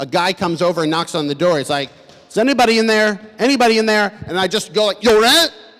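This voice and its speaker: Music runs in the background. A man with an American accent speaks with lively intonation. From US, Boston. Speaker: comedian. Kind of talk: stand-up; talk to audience. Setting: stage with audience. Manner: halting.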